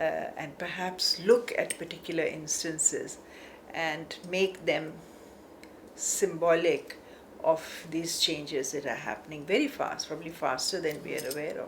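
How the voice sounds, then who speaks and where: A woman speaks at a fairly slow pace with fairly low pitch and ordinary pitch variation, over noticeable background noise. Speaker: art academic. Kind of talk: interview.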